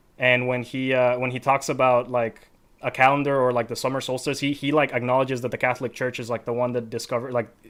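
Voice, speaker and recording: A man talks very fast with an American accent at a medium pitch. The recording is very clean, with a silent background. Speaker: podcast host. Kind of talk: casual discussion.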